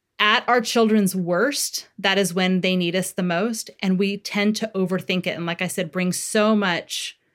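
A plain, everyday voice from a woman at a moderate pace, with fairly even intonation, in a very clean recording with a silent background. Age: 40s. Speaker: parenting author and therapist. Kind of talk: interview.

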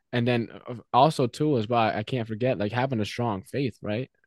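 A man with an American accent has an ordinary speaking voice, medium in pitch, with fairly even intonation. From Mexico, raised in the US. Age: 20s. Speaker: realtor and real estate investor. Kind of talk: casual interview.

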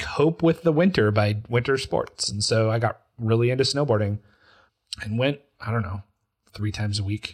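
A man with an American accent, medium pitch and ordinary pitch variation, somewhat breathy, at a moderate pace on a very clean recording with a silent background. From Utah. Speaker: podcast co-host. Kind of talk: casual chat.

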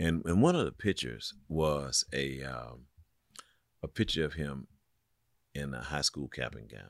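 Vocal fry runs through this fairly slow delivery, broken by long, frequent pauses, in a dry, close sound with no echo. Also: man, very deep, low pitch for a man, ordinary pitch variation, big swings in loudness. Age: 60s. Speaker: pastor. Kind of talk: casual chat. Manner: halting.

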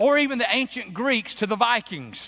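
Over a quiet background, a man with an American accent speaks at a moderate pace. His voice is raised and projected, with a bright, sharp tone. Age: 50s. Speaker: pastor. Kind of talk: sermon. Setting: church.

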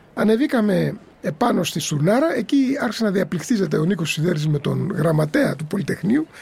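Amid noticeable background noise, a man with a high pitch speaks at a moderate pace with hardly any pauses and very wide pitch swings. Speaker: former student protester, eyewitness. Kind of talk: interview testimony.

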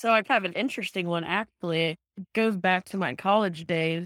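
A woman with an ordinary speaking voice speaks at a fairly low pitch with ordinary pitch variation. The sound is dry and close with no echo, in a very clean recording with a silent background. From Texas. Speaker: professional golfer. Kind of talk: casual interview.

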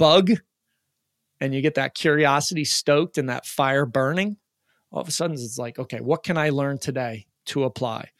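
Recorded very cleanly against a silent background, a man speaks in a plain, everyday voice with fairly high pitch at a moderate pace. The sound is dry and close, with no echo. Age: 40s. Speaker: peak performance coach. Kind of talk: interview.

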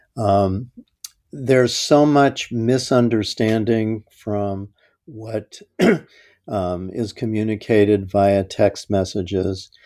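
Fairly low and dark, mellow, a man's voice moves at a very slow pace. The intonation stays fairly even. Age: 70s. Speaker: school psychologist. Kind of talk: interview. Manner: halting, many fillers.

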